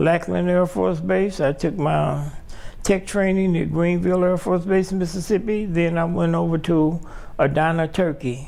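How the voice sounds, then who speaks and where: In an American accent, a man with a high pitch speaks at a fairly slow pace, and audible room echo fills the recording. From Chicago, South Side. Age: 70s. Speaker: Air Force veteran. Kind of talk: interview. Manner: halting.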